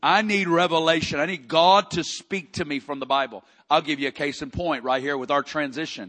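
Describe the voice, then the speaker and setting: A man's fairly high, bright, sharp voice with an American accent, animated tone and lively intonation, at a moderate pace against a quiet background. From Arkansas, US South. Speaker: preacher. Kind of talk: church Q&A talk.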